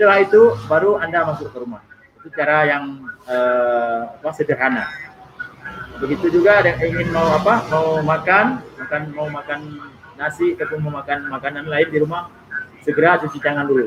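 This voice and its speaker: Talking at a fairly quick pace in an Aceh accent, a man uses a fairly high pitch with ordinary pitch variation, and noticeable background noise is present. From Aceh, Indonesia. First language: Acehnese (speaking Indonesian). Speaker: YouTuber guest. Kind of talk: live stream casual talk. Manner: halting.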